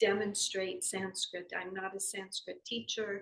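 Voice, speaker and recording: The voice is somewhat breathy, with a Southern accent. It moves at a fairly slow pace. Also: woman. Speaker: yoga philosophy teacher. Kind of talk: spiritual lesson talk. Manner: halting, many fillers.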